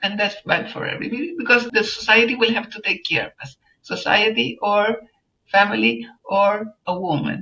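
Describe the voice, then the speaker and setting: Vocal fry runs through speech delivered at a moderate pace with big swings in loudness. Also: woman, medium pitch for a woman, ordinary pitch variation. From Chile. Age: 70s. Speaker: journalist and environmental activist. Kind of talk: interview answer.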